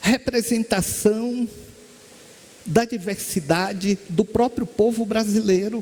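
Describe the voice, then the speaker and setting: A man talks at a very slow pace with long, frequent pauses. His high-pitched voice has fairly even intonation. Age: 60s. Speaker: spiritist lecturer and medium. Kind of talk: spiritist lecture.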